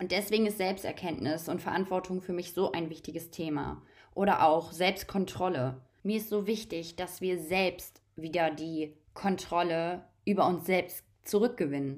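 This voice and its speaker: A woman with an unremarkable speaking voice and a fairly low pitch speaks at a fairly slow pace with fairly even intonation. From Germany. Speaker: holistic coach and spiritual podcaster. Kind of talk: spiritual monologue.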